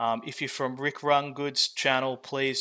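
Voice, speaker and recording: A man speaks at a moderate pace in an Australian accent, his pitch medium. His tone is bright and sharp, and his intonation stays monotone. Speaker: game designer and founder. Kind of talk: product walkthrough. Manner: casual, with many fillers.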